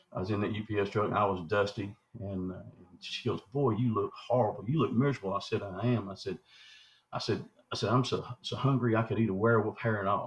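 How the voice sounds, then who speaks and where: Somewhat breathy and fairly low, a man's voice rushes along at a very fast pace. His pitch varies in an ordinary way. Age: 60s. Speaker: Bigfoot researcher. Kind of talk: interview storytelling. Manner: halting, many repetitions and fillers.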